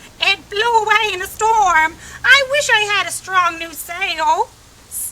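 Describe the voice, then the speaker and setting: Using a put-on character voice at an extremely high pitch, a woman speaks at a fairly slow pace with ordinary pitch variation and big swings in loudness. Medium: read story.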